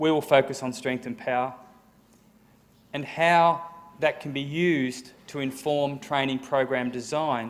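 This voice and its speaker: Pitched fairly high, a man speaks at a fairly slow pace with long, frequent pauses. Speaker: sports science professor. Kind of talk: lecture. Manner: speeds up when excited.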